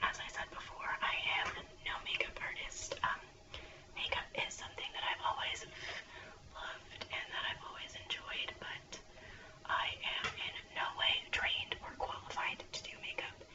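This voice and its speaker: There's a woman whispering, fairly slowly. Background noise is noticeable. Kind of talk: ASMR whispered makeup chit chat. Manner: whispered, soft-spoken.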